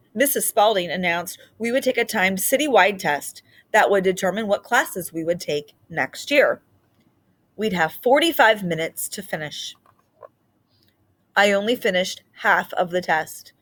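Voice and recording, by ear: A woman speaks at a fairly slow pace in a medium pitch. Her pitch varies in an ordinary way. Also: fairly bright tone.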